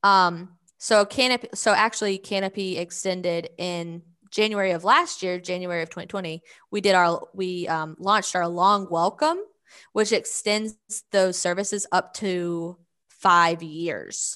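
A woman's medium-pitched, bright, sharp voice in a Southern US accent, fairly slow and fairly even in intonation, over a quiet background. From US South, Georgia. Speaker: nonprofit communications director. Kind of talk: interview.

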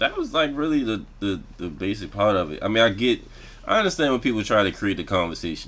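A man with a fairly low voice and vocal fry speaks at a fairly quick pace, with very wide pitch swings. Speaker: podcast host. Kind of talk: casual chat.

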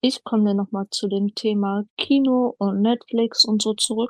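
In a dry, close sound with no echo, a woman with an ordinary speaking voice talks at a fairly slow pace and fairly high pitch with ordinary pitch variation. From northern Germany, Hamburg. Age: 20s. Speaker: podcast co-host, retail worker. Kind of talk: casual chat.

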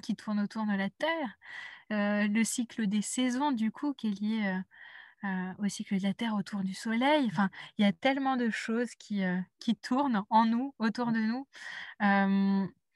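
Somewhat breathy, the speaker moves at a fairly slow pace with long, frequent pauses and ordinary pitch variation, in a very clean recording with a silent background and a dry, close sound with no echo. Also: woman. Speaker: intuitive life coach. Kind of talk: casual interview conversation. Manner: halting, many repetitions and hesitations.

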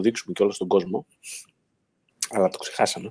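A man sounds dry and close, with no echo, on a very clean recording where the background is silent. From Greece, Kozani (Western Macedonia). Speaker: online show host, electric car owner. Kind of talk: casual panel discussion, live stream.

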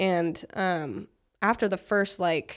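A woman speaks in a plain, everyday voice at a medium pitch, with fairly even intonation. The recording is very clean, with a silent background. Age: 20s. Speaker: motivational content creator. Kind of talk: casual chat.

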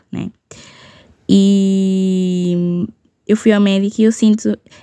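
Over a very clean recording with a silent background, a woman speaks in a dark, mellow tone. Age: 20s. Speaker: podcast host. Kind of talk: casual solo rant. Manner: casual, mixes English words.

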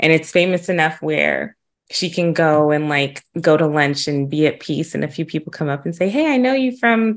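Her voice sits very deep and low for a woman. She speaks with lively intonation. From Huntsville, Alabama. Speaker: podcast host. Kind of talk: interview.

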